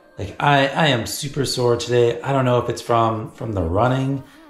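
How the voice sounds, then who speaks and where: At a moderate pace, a man talks amid audible room echo and light background noise. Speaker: cyclist vlogger. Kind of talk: casual vlog chat. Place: home room. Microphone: phone near.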